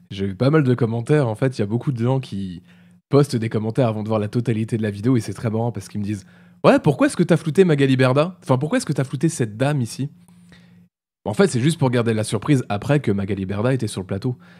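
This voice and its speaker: Recorded very cleanly against a silent background, a man talks at a very fast pace in a dark, mellow tone at medium pitch, with ordinary pitch variation and big swings in loudness. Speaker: streamer commenting videos. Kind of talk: casual live commentary. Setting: live stream.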